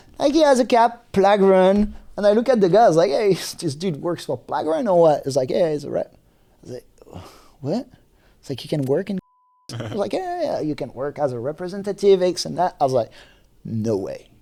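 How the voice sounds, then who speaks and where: This man talks fairly quickly in a French accent, his pitch high for a man. His pitch swings very widely and his loudness rises and falls a lot. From New Caledonia. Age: 30s. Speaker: seed company technical manager. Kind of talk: podcast interview. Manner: halting.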